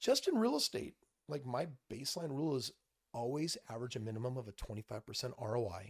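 A man speaks at a very fast pace in a somewhat breathy, medium-pitched voice with an animated tone and ordinary pitch variation, the sound dry and close with no echo. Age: 40s. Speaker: real estate investor and entrepreneur. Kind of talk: casual chat. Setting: studio. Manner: animated, lots of inflection.

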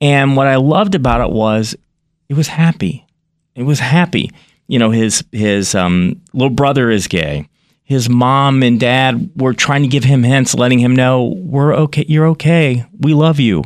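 This man has an unremarkable speaking voice at a medium pitch, with ordinary pitch variation. He speaks at a fairly slow pace with very even loudness. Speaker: podcast host. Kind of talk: interview.

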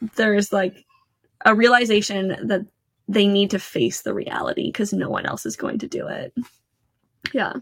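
A woman's fairly high voice with vocal fry, ordinary pitch variation, big swings in loudness, a moderate pace and long, frequent pauses. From Canada. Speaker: financial educator. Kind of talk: casual interview chat.

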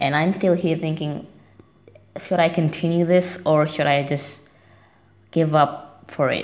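Speaking at a fairly slow pace with a non-native accent, a woman uses a fairly low pitch and fairly even intonation. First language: not English. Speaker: listener leaving a voicemail. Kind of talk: voicemail message. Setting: phone voicemail.

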